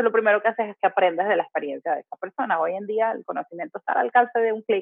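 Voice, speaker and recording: Her intonation lively, a woman speaks at a very fast pace. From Venezuela. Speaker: habits coach. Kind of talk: casual interview.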